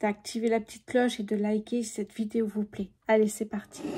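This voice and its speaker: Soft-spoken and fairly high-pitched, a woman talks at a moderate pace with a dark, mellow tone. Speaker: tarot reader. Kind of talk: tarot reading.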